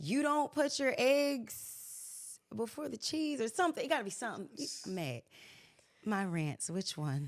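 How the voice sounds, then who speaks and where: Speaking at a fairly slow pace, a woman's voice makes very wide pitch swings in a very clean recording with a silent background. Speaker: singer and reality TV personality. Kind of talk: casual interview chat.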